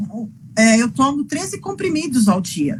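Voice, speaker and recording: The speech moves at a fairly slow pace, with noticeable background noise behind it. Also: woman. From Brazil, interior of São Paulo state. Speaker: physician and patient advocate. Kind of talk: interview. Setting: live video call. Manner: halting, many repetitions.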